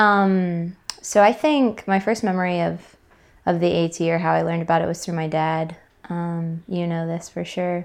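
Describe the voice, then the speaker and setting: This unremarkable speaking voice moves at a moderate pace with fairly even intonation in an American accent. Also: woman. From US South, Atlanta, Georgia. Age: 20s. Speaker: thru hiker. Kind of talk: casual interview.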